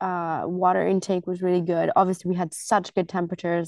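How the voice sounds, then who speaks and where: In a dry, close sound with no echo and a quiet background, a woman speaks at a medium pitch with a slight American accent. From grew up moving abroad, largely China. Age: 20s. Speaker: triathlete. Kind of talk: casual interview.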